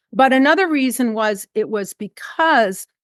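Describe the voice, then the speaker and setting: At a moderate pace, a woman speaks with a high pitch and very wide pitch swings, the sound dry and close with no echo. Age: 70s. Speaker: nonprofit CEO and former corporate leader. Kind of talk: podcast interview.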